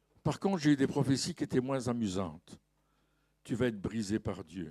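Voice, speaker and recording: The man's voice sits at a medium pitch with a dark, mellow tone and very wide pitch swings. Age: 70s. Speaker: pastor. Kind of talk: sermon. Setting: church.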